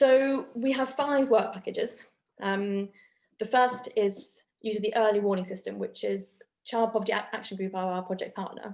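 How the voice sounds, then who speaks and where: With a fairly high pitch and a moderate pace, a woman speaks in an unremarkable speaking voice. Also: ordinary pitch variation. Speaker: academic researcher. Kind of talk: academic seminar presentation.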